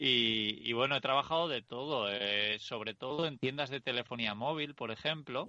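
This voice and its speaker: A man with an ordinary speaking voice talks at a moderate pace and medium pitch, with ordinary pitch variation and hardly any pauses. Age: 30s. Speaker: podcast host and vanlife author. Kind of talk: casual interview chat.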